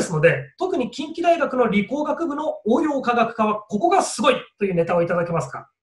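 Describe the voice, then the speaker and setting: A man speaks at a moderate pace in an extremely high pitch. The room echo is audible, though the background stays quiet. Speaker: education writer and interviewer. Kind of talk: interview. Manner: polite. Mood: polite, friendly. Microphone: video call.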